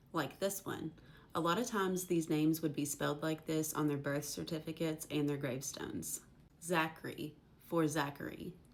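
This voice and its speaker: Speaking at a moderate pace, the woman has a very deep, low pitch and fairly even intonation in an Appalachian accent. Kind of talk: casual educational talk to camera.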